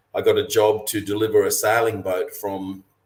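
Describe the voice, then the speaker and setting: A man in an Australian accent. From Australia, western Queensland. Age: 60s. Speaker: professional mariner and cruising guide author. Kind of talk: webinar interview.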